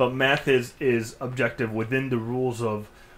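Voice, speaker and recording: A man with medium pitch talks at a moderate pace, keeping his intonation fairly even. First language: not English. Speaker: podcast host. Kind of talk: casual chat.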